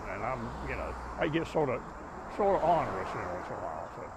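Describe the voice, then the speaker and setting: A man speaks at a fairly quick pace in an American accent. The room echo is audible, and there is noticeable background noise. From US South. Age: 80s+. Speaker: retired city engineer, neighborhood activist. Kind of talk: interview.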